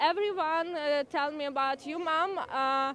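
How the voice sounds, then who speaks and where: A woman with a Ukrainian accent speaks with ordinary pitch variation. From Ukraine. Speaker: Ukrainian refugee at a rally. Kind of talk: interview testimony. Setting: outdoor rally. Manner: halting.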